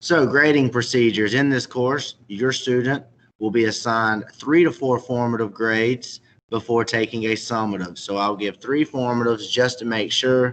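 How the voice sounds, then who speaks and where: A man with a Southern US accent speaks at a moderate pace, his medium-pitched voice carrying fairly even intonation. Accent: Southern US, noticeable. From South Carolina, Chesterfield. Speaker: middle school teacher. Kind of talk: presentation to parents. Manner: formal.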